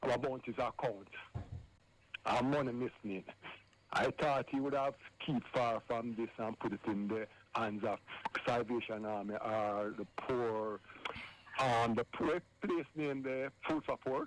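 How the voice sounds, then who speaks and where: Long, frequent pauses break up a man's fairly slow speech, delivered at a medium pitch with ordinary pitch variation. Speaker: caller phoning in to a radio show. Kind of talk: live radio phone-in call. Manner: earnest, talking over the host.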